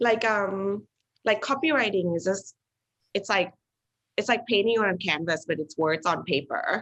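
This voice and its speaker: In a Thai accent, a woman speaks at medium pitch and a moderate pace, with lively intonation and long, frequent pauses. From Thailand and the UK. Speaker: artist and creative director. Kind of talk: casual interview. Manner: hesitant, many fillers.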